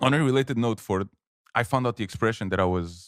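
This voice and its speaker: Recorded very cleanly against a silent background with a dry, close sound and no echo, a man with a Portuguese accent speaks at a very fast pace with ordinary pitch variation. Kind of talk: casual chat.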